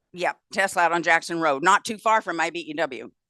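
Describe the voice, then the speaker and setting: A woman talks at a fairly quick pace in an animated, bright, sharp tone. The sound is dry and close with no echo. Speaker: county party chair. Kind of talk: announcements at a party meeting. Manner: fast.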